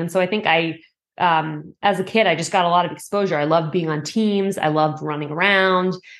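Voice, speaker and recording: A woman with a plain, everyday voice speaks in an American accent at a moderate pace and fairly low pitch, over a quiet background. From Massachusetts, outside Boston. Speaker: amateur triathlete. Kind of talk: interview.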